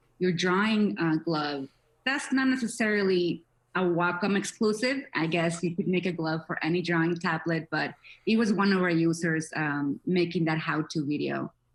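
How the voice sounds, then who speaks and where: A woman with a non-native accent, fairly low pitch, ordinary pitch variation, very even loudness and a moderate pace. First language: not English. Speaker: social media manager for a tablet maker. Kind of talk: interview. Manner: animated.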